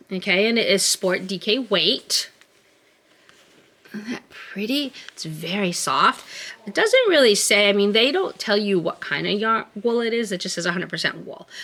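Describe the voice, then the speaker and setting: A woman's medium-pitched voice at a moderate pace, with ordinary pitch variation and noticeable background noise. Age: 50s. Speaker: knitting podcaster. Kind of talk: casual video podcast chat. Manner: casual, halting with fillers.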